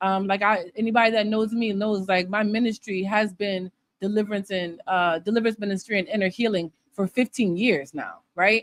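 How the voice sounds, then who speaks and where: A woman at a medium pitch and fairly quick pace, with fairly even intonation and a dry, close sound with no echo. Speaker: minister and entrepreneur. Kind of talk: livestream monologue. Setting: live stream. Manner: talkative.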